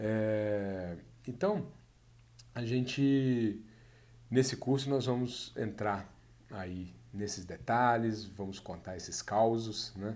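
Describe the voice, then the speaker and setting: Through audible room echo, a man with a Minas Gerais accent speaks very slowly in a fairly low pitch, with ordinary pitch variation and long, frequent pauses. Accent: mineiro. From Brazil, Minas Gerais. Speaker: course instructor. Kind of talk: online course introduction. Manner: hesitant, many fillers.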